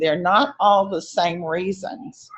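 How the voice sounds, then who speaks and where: A woman talks at a moderate pace in a normal speaking voice, fairly low in pitch with ordinary pitch variation. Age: 60s. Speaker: member asking a question on a live Q&A. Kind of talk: casual Q&A remarks.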